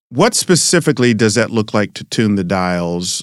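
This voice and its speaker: With an unremarkable speaking voice, a man talks at a fairly low pitch and moderate pace with ordinary pitch variation, on a very clean recording with a silent background. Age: 50s. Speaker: pastor and podcast host. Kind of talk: casual interview.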